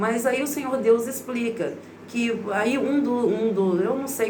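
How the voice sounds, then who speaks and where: Audible room echo and noticeable background noise surround the recording. A woman speaks with a Brazilian accent. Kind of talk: casual vlog monologue. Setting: bathroom at home. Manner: informal, conversational.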